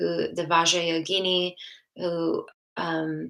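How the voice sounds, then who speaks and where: The woman's tone is bright and sharp, her pitch fairly low. She speaks at a very slow pace. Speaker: oracle card reader. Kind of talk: live stream card reading. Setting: livestream to YouTube and Facebook.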